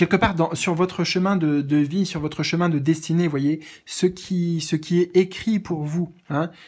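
Spoken at a fairly slow pace with hardly any pauses against a quiet background. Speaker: tarot reader. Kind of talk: tarot reading monologue. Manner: hesitant, many fillers. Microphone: phone near.

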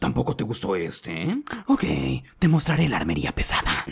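A man's put-on character voice, playful in tone, at a moderate pace. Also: medium pitch for a man. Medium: dub. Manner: playful, eager.

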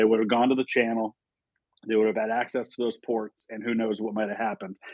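A man's voice sounds dry with no echo while loud background noise fills the clip. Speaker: guest. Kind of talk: interview answer. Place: home room. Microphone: earbuds.

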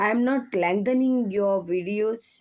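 In a very clean recording with a silent background, a woman talks very slowly at a medium pitch with ordinary pitch variation. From South Goa, India. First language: Konkani/Marathi. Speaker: health video blogger. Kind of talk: informal talk to camera. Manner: halting.

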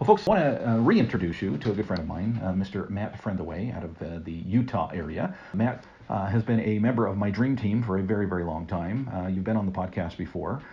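An unremarkable speaking voice with ordinary pitch variation, at a fairly quick pace. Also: man. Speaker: podcast host. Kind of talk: interview. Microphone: phone backup recording, poor audio.

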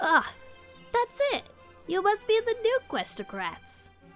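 Using a put-on character voice, a woman speaks slowly at an extremely high pitch with very wide pitch swings and a fairly bright tone, with faint music in the background.

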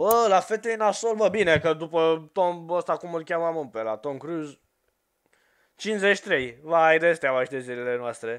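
A high-pitched man at a fairly slow pace, with lively intonation against a quiet background. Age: 20s. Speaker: gaming youtuber. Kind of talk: casual chat. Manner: animated. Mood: joking, playful. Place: home room. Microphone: headset.

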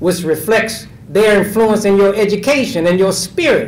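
Room echo is audible as a man talks at a moderate pace. His pitch is high and his intonation lively.

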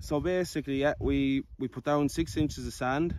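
The speech has ordinary pitch variation and a dry sound with no echo. Light background noise is present. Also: man. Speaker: gallop construction contractor. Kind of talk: interview answer. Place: open country. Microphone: phone near.

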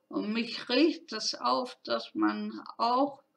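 The pace is slow. Vocal fry runs through the voice. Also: woman.

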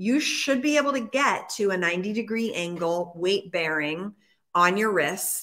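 Against a quiet background, a woman speaks at a fairly slow pace in a medium pitch, her bright, sharp tone animated and her intonation lively. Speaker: fitness trainer and live show host; fitness trainer, live show host. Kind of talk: casual live chat. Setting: live stream, studio or home. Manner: animated, chatty. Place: gym. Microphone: webcam.

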